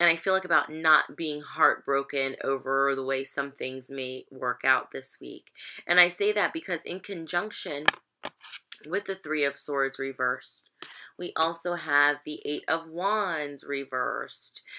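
With light background noise behind her, a woman speaks at a very deep, low pitch in a bright, sharp tone with ordinary pitch variation. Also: fairly slow pace. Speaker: tarot reader. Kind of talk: casual reading commentary. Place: home room. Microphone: webcam.

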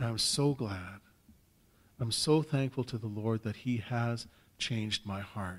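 With a Canadian accent, a man talks at a fairly slow pace and medium pitch, using ordinary pitch variation and long, frequent pauses. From Saskatchewan, Canada. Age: 50s. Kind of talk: personal testimony talk. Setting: stage with audience. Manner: conversational, hesitant with fillers. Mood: warm, joyful, light humour. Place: hall. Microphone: podium.

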